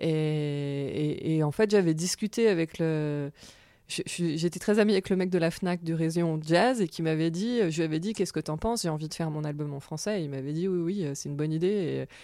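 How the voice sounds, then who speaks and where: A woman's dark, mellow, fairly low voice at a moderate pace with ordinary pitch variation, on a very clean recording with a silent background. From France. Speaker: jazz singer. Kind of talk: interview.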